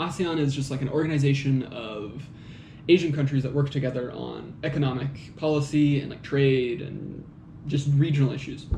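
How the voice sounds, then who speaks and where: A man with an American accent speaks fairly quickly in a fairly high pitch with fairly even intonation, with audible room echo and noticeable background noise. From United States. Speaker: commentator on magazine articles. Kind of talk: solo monologue commentary. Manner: casual, many fillers and hesitations.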